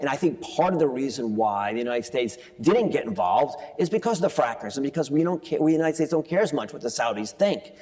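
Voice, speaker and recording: A man's very fast, fairly high-pitched speech in a northeastern American accent, with very wide pitch swings and noticeable background noise. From US East Coast. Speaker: financial journalist and author. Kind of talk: onstage interview. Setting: conference stage with audience.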